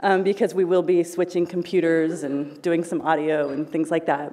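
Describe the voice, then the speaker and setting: Here a woman talks at a moderate pace. Her pitch is fairly low. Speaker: panel moderator. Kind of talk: event introduction. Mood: warm, lightly laughing. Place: hall. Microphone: podium.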